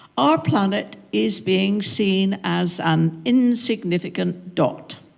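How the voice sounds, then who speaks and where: A woman with a southwest English accent, medium pitch, very wide pitch swings and a very slow pace. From southwest England, Devon-Cornwall border. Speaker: minister. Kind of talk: panel talk.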